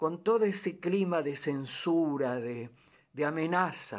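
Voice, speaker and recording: A man's lively intonation at a very slow pace. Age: 80s+. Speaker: theatre director. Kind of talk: documentary narration. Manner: halting.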